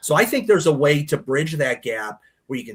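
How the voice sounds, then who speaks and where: This man talks at a moderate pace with an American accent. His intonation is lively, and his voice is somewhat breathy. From Chicago, US Midwest. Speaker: real estate and title insurance executive. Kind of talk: podcast interview.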